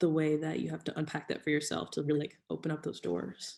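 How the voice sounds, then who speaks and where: Speaking at a fairly quick pace, a woman uses a very deep, low pitch with vocal fry. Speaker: panelist in church discussion. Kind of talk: casual chat. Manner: loud.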